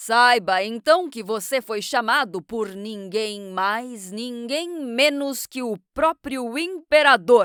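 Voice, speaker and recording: Using a booming, put-on character voice, a woman speaks at a very slow pace with hardly any pauses, a fairly high pitch and lively intonation, on a very clean recording with a silent background. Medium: read story. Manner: booming, imperious.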